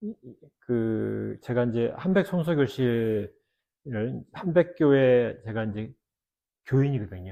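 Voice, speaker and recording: The voice has a dark, mellow tone and lively intonation, moving at a very slow pace with long, frequent pauses and big swings in loudness. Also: man, medium pitch for a man, quiet background. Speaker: theologian and former pastor. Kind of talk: casual chat.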